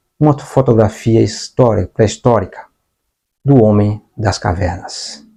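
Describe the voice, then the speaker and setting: Over a quiet background, a man with a dark, mellow tone speaks at a fairly slow pace. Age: 60s. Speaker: online teacher. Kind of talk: lecture. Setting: home studio with whiteboard.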